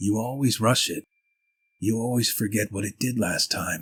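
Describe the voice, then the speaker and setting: A raspy, put-on character voice from a man at medium pitch. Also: moderate pace. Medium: read story. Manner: low and fast.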